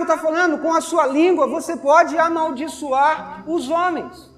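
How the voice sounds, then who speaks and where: Over noticeable background noise, a man with a Brazilian accent speaks at a moderate pace in an extremely high pitch, his intonation monotone and flat. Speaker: preacher. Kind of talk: sermon. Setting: church. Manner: earnest, admonishing; rhetorical questions, conversational teaching.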